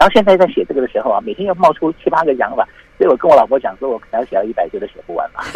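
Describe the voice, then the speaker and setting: A man talks very fast with big swings in loudness, recorded dry and close with no echo over noticeable background noise. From Taiwan, military dependents' village. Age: 50s. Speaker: calligrapher and university lecturer. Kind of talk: interview.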